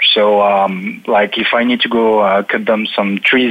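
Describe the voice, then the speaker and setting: With a French accent, a man speaks at a medium pitch in a monotone, flat intonation over noticeable background noise. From eastern France near German border. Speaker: automation technology consultant. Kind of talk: panel discussion. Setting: remote call from Paris.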